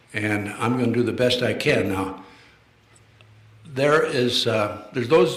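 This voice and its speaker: At a fairly slow pace, a man speaks with ordinary pitch variation amid noticeable background noise and audible room echo. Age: 80s+. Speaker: retired FBI official, lecturer. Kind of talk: lecture to live audience. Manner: halting, many fillers.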